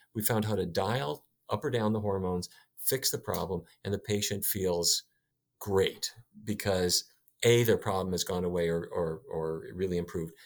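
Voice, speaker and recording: With an American accent and an ordinary speaking voice, this man has a fairly low pitch and ordinary pitch variation. He talks at a moderate pace on a very clean recording with a silent background. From US Midwest (North Dakota). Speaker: physician and nutrition researcher. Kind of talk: interview.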